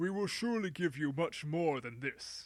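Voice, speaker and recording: Here a man uses a put-on character voice with a fairly high pitch. He talks at a moderate pace with lively intonation. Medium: read story. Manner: haughty.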